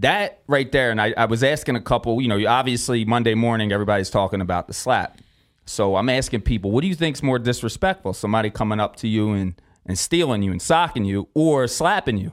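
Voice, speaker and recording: A man's very fast speech with lively intonation. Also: medium pitch for a man. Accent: Philadelphia. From US, South Philadelphia. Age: 40s. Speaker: boxing matchmaker and event coordinator. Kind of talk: casual chat. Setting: studio.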